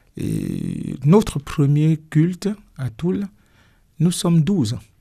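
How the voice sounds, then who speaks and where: A man speaks very slowly at a fairly high pitch. His tone is dark and mellow, his intonation lively. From Cameroon. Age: 60s. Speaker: pastor. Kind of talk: radio interview. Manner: hesitant, many fillers.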